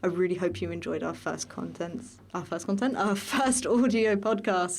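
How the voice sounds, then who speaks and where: A woman speaks at a moderate pace and medium pitch. Vocal fry runs through her voice. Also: ordinary pitch variation. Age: 20s. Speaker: student podcast host, voice acting student. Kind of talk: casual chat. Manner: hesitant, many fillers.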